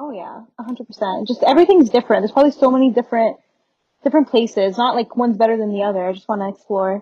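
At a very fast pace, this voice shows big swings in loudness, recorded in a dry, close sound with no echo. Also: woman, fairly high pitch for a woman, ordinary pitch variation. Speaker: university student. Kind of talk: casual interview.

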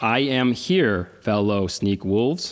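A man puts on a character voice, keeping a medium pitch and speaking fairly slowly. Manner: odd put-on impression voice.

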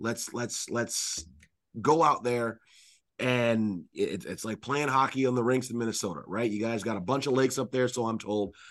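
Over a quiet background, a man with a plain, everyday voice speaks at a moderate pace with a medium pitch and ordinary pitch variation. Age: 30s. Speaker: hockey play-by-play radio announcer. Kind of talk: casual chat.

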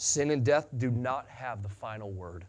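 The man talks with an American accent. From US Midwest, western Illinois. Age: 40s. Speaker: pastor. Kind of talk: sermon. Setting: church.

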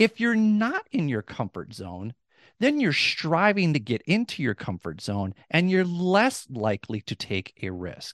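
Against a quiet background, a man with an Upper Midwest accent speaks at a fairly high pitch with very wide pitch swings, and the sound is dry and close with no echo. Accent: Upper Midwest American. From US Midwest (rural Minnesota). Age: 40s. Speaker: former dean of students, podcaster. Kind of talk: interview conversation. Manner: articulate, few fillers.

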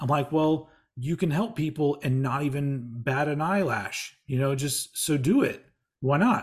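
The voice is somewhat breathy. It moves at a fairly slow pace with ordinary pitch variation. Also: man, fairly high pitch for a man. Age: 40s. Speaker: podcaster and radio host. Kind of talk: casual chat.

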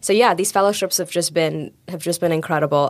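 Her intonation fairly even, a woman talks at a fairly quick pace. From India. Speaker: economics student. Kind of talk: interview.

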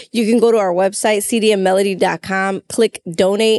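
A woman with an American accent speaks in a normal speaking voice at medium pitch, her intonation fairly even, the sound dry and close with no echo. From Chicago, US Midwest. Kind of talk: casual conversation about faith.

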